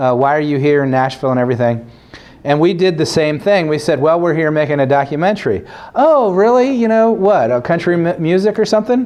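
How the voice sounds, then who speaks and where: Talking at a fairly quick pace, a man with a fairly high pitch makes very wide pitch swings while keeping his loudness very even. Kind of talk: storytelling talk to audience. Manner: animated.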